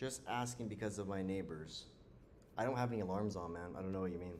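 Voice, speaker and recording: With ordinary pitch variation, a man talks while the room adds audible echo. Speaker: live trading streamer. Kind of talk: live stream commentary. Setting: live stream. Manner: loud; casual.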